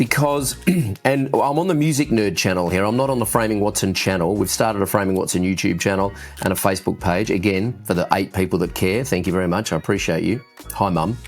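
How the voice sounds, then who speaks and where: Over noticeable background noise, a man talks very fast with lively intonation and very even loudness. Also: fairly low pitch for a man. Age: 50s. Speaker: youtuber and musician. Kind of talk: casual vlog update. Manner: informal, unedited with fillers.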